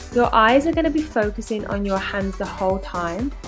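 A woman with lively intonation at a fairly slow pace, with music in the background. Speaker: fitness coach. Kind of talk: workout instruction voice-over.

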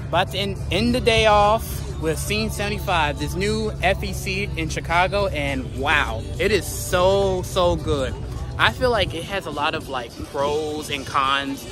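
A man speaks at a very slow pace with clear music behind him, the sound dry with no echo. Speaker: vlogger. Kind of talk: casual vlog chat. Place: street. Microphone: phone near.

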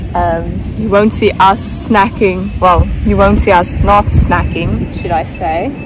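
Music plays in the background of a dry recording with no echo as a woman speaks at a very slow pace. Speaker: vlogger. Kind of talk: casual vlog chat. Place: beach. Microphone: phone near.

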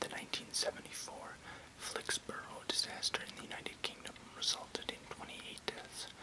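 Whispering and soft-spoken, a man talks at a moderate pace amid noticeable background noise. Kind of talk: reading an encyclopedia article aloud. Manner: soft close whisper, slow reading. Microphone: webcam.

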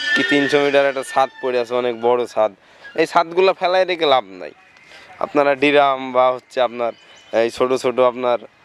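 A man's medium-pitched voice with ordinary pitch variation, a dry, close sound with no echo, and noticeable background noise. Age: young. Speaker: plant nursery owner. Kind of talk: casual interview on site.

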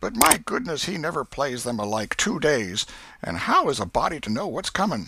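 Using a put-on character voice of medium pitch, a man sounds bright and sharp with a slightly husky edge, big pitch swings and a moderate pace.

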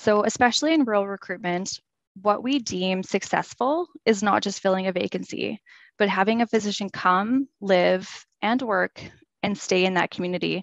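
Against a quiet background, a woman speaks at a medium pitch with ordinary pitch variation. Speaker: health services physician recruitment consultant. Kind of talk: webinar presentation. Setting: video call. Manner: fast talker; nervous when speaking.

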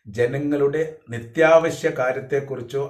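Audible room echo on a man's voice of medium pitch. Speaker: political commentator. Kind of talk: political commentary monologue.

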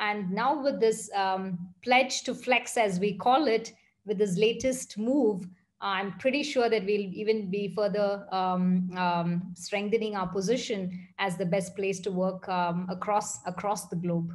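A woman talks at a fairly slow pace with ordinary pitch variation. Her voice is somewhat breathy against a quiet background. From India, Bangalore; India. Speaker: tech executive. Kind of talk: interview. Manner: fluent with many fillers. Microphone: video call.

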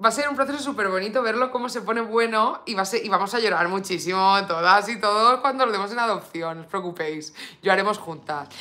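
The delivery is animated, with lively intonation and a bright, sharp tone. The pace is fairly quick. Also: woman. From Spain. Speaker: beauty YouTuber. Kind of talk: live stream makeup unboxing. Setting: home live stream. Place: home room.

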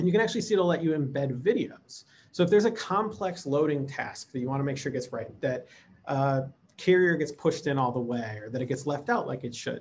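Over light background noise, a somewhat breathy man with an American accent speaks at a fairly quick pace and a fairly high pitch. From US Midwest. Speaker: lab automation director; presenter. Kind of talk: conference presentation. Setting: remote recording. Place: home room. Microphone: webcam.

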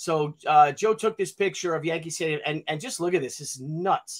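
At a moderate pace, a man speaks with a fairly high pitch and ordinary pitch variation.

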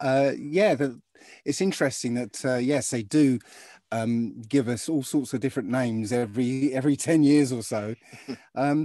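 A man is speaking over music in the background. The sound is dry with no echo. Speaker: remote guest. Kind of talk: interview answer. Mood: animated, amused. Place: home room. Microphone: video call.

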